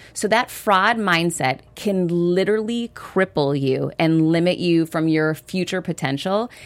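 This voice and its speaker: A woman speaks slowly-ish at a fairly slow pace in a normal speaking voice, her fairly low pitch showing ordinary variation and her loudness very even. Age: 40s. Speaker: author and entrepreneur. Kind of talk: interview.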